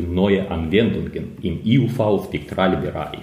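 Very slow, fairly low-pitched male speech in a room with audible echo. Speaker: optics researcher. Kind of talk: interview. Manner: halting.

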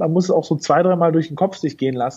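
This man has an ordinary speaking voice. He talks at a fairly high pitch with lively intonation. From northern Germany, North Sea island. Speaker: fintech founder and CEO. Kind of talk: interview.

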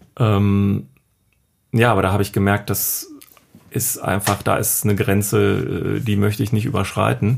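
A man's voice with vocal fry and very even loudness, at a fairly slow pace with long, frequent pauses and ordinary pitch variation. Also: fairly low pitch for a man. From Düsseldorf, Germany. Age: 30s. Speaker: day trader. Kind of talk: casual interview. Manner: hesitant, many fillers.

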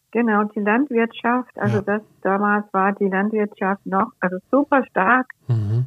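Ordinary pitch variation from a woman at medium pitch, delivered at a fairly slow pace. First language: Danish (speaking German). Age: 60s. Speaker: journalist and tour guide. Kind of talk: interview conversation. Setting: remote call over the internet.

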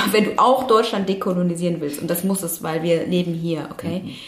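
A woman talks at a moderate pace and a medium pitch. Noticeable background noise runs under her voice. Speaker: activist and lawyer. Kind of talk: casual interview conversation. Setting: studio.

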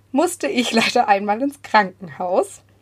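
A woman speaks fairly slowly with lively intonation and a fairly high pitch. She has an ordinary speaking voice. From Bavaria (Munich southeast). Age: 20s. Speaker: church youth volunteer. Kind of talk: casual chat. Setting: remote recording from a basement.

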